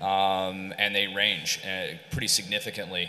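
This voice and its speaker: A fairly low-pitched man's voice with an American accent and a bright, sharp tone, heard in audible room echo. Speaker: ad tech executive. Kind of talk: conference panel discussion. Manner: halting, many fillers and repeats.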